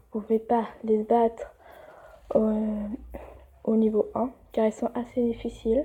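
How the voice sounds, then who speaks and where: Somewhat breathy and dark, mellow in tone, a woman speaks at a very slow pace with long, frequent pauses. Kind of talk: casual game tutorial talk. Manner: hesitant, many fillers.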